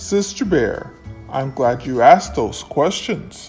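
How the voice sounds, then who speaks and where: With faint music behind him, a man does a put-on character voice at medium pitch and a fairly slow pace. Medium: read story. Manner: solemn, emphatic.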